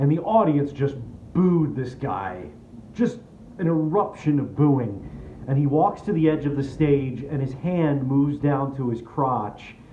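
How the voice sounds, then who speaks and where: Somewhat breathy delivery, fairly slow, with lively intonation. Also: man, fairly high pitch for a man. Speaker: spoken word performer. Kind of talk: comedic personal storytelling monologue.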